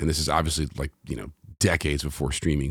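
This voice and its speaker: Vocal fry marks a man's very deep, low voice in a New York accent, recorded dry and close with no echo. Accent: New York American. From New York City. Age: 40s. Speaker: singer-songwriter and pianist. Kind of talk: casual interview chat. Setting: video call.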